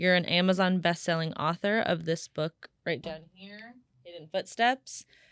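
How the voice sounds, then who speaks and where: A woman with an unremarkable speaking voice talks at a fairly slow pace and a fairly low pitch, with ordinary pitch variation and big swings in loudness, in a dry, close sound with no echo. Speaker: podcast host. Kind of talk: podcast conversation.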